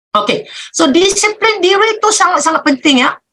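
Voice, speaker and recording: In a Malaysian accent, a woman raises and projects her bright, sharp voice, her pitch swinging very widely. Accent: Malaysian Malay. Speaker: business leader. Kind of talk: motivational talk. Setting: video call.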